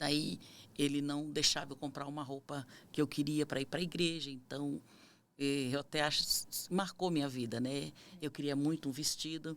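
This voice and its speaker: A woman's very deep, low voice at a moderate pace. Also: fairly even intonation. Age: 50s. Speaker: missionary. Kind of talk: testimony.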